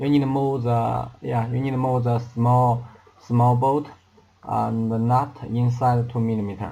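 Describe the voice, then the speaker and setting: Fairly slow, monotone speech with flat intonation, audible room echo, and noticeable background noise. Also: man, medium pitch for a man. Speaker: laser engraver maker demonstrating assembly. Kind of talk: tutorial. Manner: halting, many fillers and repetitions.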